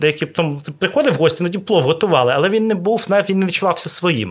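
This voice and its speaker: In a very clean recording with a silent background, a man speaks in a high pitch. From Ukraine, Odesa. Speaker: restaurateur. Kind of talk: interview. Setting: hotel restaurant recording.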